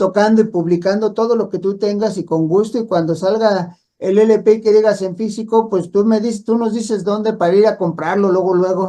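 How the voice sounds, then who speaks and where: A man talks at a moderate pace in a high pitch. His tone is dark and mellow. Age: 60s. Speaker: radio host. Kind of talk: radio interview.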